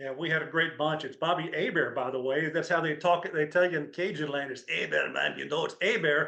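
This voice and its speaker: A man with a Texan accent talks at a fairly quick pace with hardly any pauses, his pitch fairly high. His intonation stays fairly even, and there is noticeable background noise. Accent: Texas accent, still held. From Texas, Crowley near Fort Worth. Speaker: former NFL linebacker. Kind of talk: interview.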